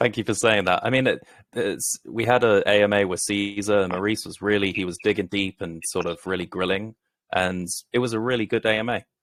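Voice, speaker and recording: Over a very clean recording with a silent background, a man with a British accent speaks fairly quickly at a fairly low pitch, his intonation fairly even and the sound dry and close with no echo. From Britain. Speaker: crypto project founder. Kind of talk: interview. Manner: professional.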